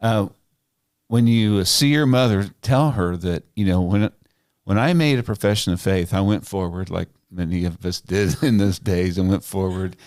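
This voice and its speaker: A man talks in a plain, everyday voice with an American accent, fairly low in pitch with ordinary variation. His pace is moderate, and the very clean recording has a silent background. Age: 60s. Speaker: podcast host. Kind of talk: casual interview chat.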